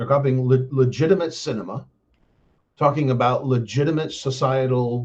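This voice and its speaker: A man with an American accent, somewhat breathy, at a moderate pace with ordinary pitch variation. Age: 60s. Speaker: live streamer, political commentator. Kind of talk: casual monologue on a live stream. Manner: rambling, many fillers (um, uh).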